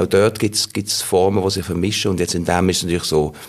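This voice belongs to a man. His pitch is very deep and low. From Basel, Switzerland. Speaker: voice actor and actor. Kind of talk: interview.

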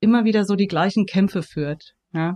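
Against a quiet background, a woman speaks at a fairly slow pace in a medium pitch. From Germany, Frankfurt. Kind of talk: interview. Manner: hesitant, many fillers.

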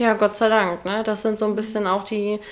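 At a moderate pace, this woman talks at a medium pitch. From Ruhr area, Germany (Oberhausen). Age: 20s. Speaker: hairdresser. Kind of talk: casual interview.

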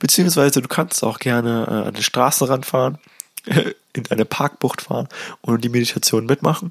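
A man with an ordinary speaking voice talks at a moderate pace in a medium pitch, with ordinary pitch variation and a dry, close sound with no echo. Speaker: podcast host and meditation guide. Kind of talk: guided meditation. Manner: gentle, hypnotic, repetitive, second-person instructions.

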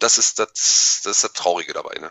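A man talks at a moderate pace. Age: 30s. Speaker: YouTuber and toy collector. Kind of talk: casual chat.

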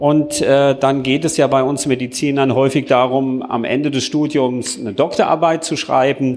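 With a plain, everyday voice, a man talks at a moderate pace and a fairly high pitch, keeping his intonation fairly even with hardly any pauses. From Mainz, Germany. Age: 60s. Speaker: doctor. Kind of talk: panel discussion.

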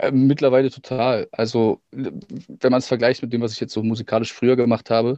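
A man talks at a moderate pace and a medium pitch in a plain, everyday voice. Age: 30s. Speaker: actor and musician. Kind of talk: casual interview.

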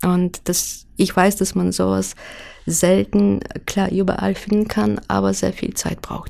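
A woman with a non-native accent, at a very slow pace. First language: not German (speaking German). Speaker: illustrator. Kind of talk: interview. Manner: hesitant, many filler sounds.

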